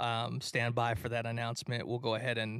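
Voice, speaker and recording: A man's medium-pitched voice with vocal fry and an American accent, on a very clean recording with a silent background. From Detroit, Michigan, US. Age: 30s. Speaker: live event producer and musician. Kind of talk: casual chat. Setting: studio.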